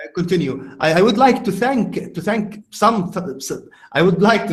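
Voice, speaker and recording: A man with an Arabic accent speaks at a fairly slow pace. His pitch is high and his intonation lively. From Egypt, Cairo. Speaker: podcast host. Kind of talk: casual conversation. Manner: halting.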